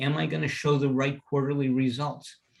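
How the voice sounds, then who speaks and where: A man with a somewhat breathy, fairly high voice speaks at a moderate pace. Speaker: presenter and teacher on company culture. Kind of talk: lecture.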